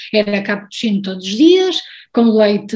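Somewhat breathy and medium in pitch, a woman talks at a moderate pace. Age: 40s. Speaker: guest sharing personal health story, recipe social media creator. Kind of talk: interview conversation.

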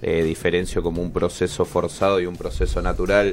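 Music in the background behind a man at a moderate pace, his intonation fairly even. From northern Argentina, raised in Córdoba. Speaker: bartender. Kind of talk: radio interview. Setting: radio studio.

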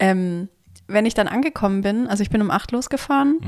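In an ordinary speaking voice, a woman talks at a medium pitch and moderate pace on a very clean recording with a silent background. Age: 30s. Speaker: podcast co-host. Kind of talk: casual chat. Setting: co-host's home, sitting on the floor.

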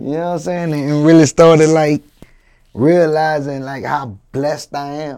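This man has a fairly high pitch and a dark, mellow tone. He talks at a moderate pace with fairly even intonation and big swings in loudness. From New Orleans, Louisiana. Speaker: rapper. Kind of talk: interview. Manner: halting, many fillers.

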